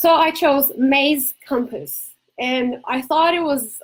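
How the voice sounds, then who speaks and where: A woman with a Brazilian accent, high-pitched, with ordinary pitch variation. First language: Portuguese. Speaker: ADHD coach and entrepreneur. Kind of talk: casual talk to camera.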